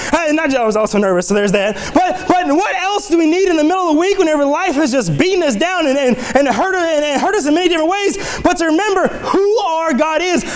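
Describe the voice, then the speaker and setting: A man talks at a very fast pace with an extremely high pitch, an animated tone and lively intonation. His loudness stays very even amid noticeable background noise and audible room echo. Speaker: lay preacher. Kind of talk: sermon.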